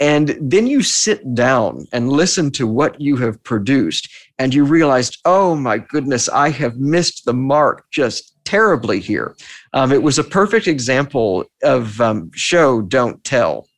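In an ordinary speaking voice, a man with an American accent talks at a fairly slow pace and a fairly high pitch, his intonation lively. His loudness stays very even, and the background is quiet. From Texas, Austin. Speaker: podcaster. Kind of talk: interview conversation. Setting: video call.

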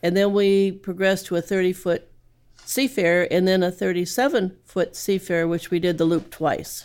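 A woman with an American accent speaks at a moderate pace in an ordinary speaking voice, her medium pitch carried on fairly even intonation and very even loudness. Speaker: sailor. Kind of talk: storytelling.

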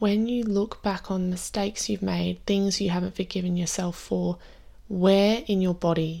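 In a very clean recording with a silent background, a woman speaks at a medium pitch in a dark, mellow, soothing and gentle tone, her intonation fairly even. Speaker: meditation guide. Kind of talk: guided meditation. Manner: slow, soothing, gentle with long pauses; warm, tender, reassuring.

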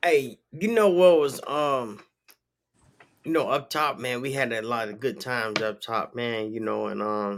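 A plain, everyday voice: a man at a medium pitch, fairly slow pace and ordinary pitch variation. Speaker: podcast host. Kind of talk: casual chat. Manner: laid-back, filler-heavy.

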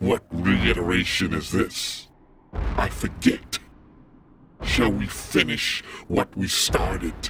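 A man uses a put-on character voice, raspy and very deep and low in pitch. He speaks at a very slow pace. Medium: audio drama. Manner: menacing, mocking.

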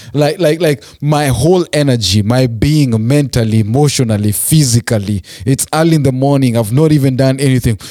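A man speaks at a fairly quick pace, with hardly any pauses and very even loudness. His pitch is medium, with ordinary variation. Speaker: podcast host. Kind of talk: casual chat. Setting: studio.

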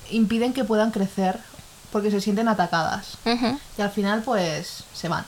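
A woman speaks at a fairly slow pace over noticeable background noise. Her fairly high pitch varies in an ordinary way. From Ecuador. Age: 20s. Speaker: podcast co-host. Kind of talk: casual chat.

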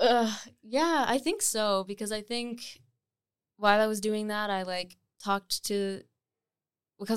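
On a very clean recording with a silent background, a woman speaks with a Canadian accent. Her medium-pitched voice keeps fairly even intonation. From Nova Scotia, Canada. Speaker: singer-songwriter. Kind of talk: casual chat.

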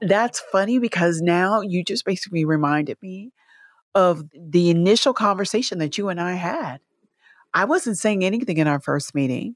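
A woman with an American accent and a normal speaking voice talks at a medium pitch and a moderate pace with lively intonation, on a very clean recording with a silent background and a dry, close sound with no echo. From US Midwest, Alton and St. Louis. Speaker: podcast co-partner. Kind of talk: casual chat.

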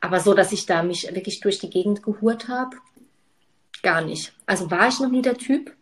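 A somewhat breathy woman at a moderate pace, with ordinary pitch variation and long, frequent pauses. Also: medium pitch for a woman. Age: 30s. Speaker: podcast co-host. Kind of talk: casual chat.

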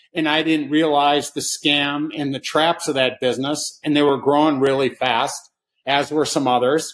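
In an unremarkable speaking voice, a man with an American accent talks at a moderate pace, fairly high in pitch and with fairly even intonation, on a very clean recording with a silent background. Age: 60s. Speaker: short seller. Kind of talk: casual chat.

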